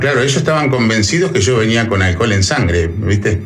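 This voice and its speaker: Talking at a fairly quick pace, a man uses lively intonation at a medium pitch. Audible room echo and noticeable background noise fill the recording. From Argentina. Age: 50s. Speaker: truck driver. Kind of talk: casual interview, storytelling anecdotes.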